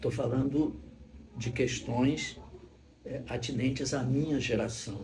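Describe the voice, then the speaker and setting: Against noticeable background noise and audible room echo, a man speaks at a very slow pace with long, frequent pauses and ordinary pitch variation. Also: medium pitch for a man. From Brazil (born Rio de Janeiro, teen years in Salvador). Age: 70s. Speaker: actor and retired psychologist. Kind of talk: documentary interview. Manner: halting, with repeated words.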